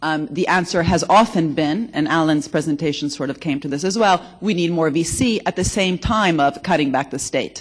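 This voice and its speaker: Delivered with an American accent at a moderate pace. There are hardly any pauses. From Italy. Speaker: economics researcher, conference speaker. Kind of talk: conference panel discussion.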